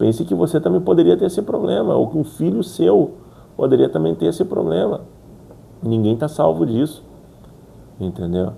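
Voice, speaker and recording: Long, frequent pauses break up a man's speech at a moderate pace, his medium-pitched voice swinging very widely in pitch. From Brazil. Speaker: YouTuber who stutters. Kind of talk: motivational talk to camera. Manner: repetitions and fillers.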